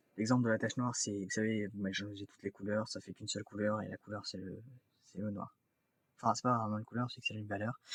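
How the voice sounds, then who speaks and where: A man talks very fast in a fairly low, monotone, flat voice. His loudness swings widely. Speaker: YouTuber. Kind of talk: casual vlog talk to camera. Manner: halting, many fillers and restarts.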